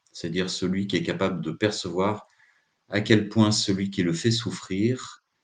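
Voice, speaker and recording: A man's fairly low voice at a fairly slow pace. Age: 60s. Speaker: psychotherapist giving a talk. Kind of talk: live talk. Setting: live stream. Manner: hesitant, many filler sounds.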